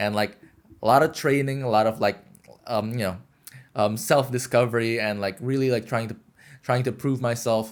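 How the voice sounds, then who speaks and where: This man has a medium pitch and talks at a moderate pace. His intonation is fairly even, and he pauses long and often. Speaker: podcast co-host, journalist. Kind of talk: casual chat. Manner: halting, many fillers.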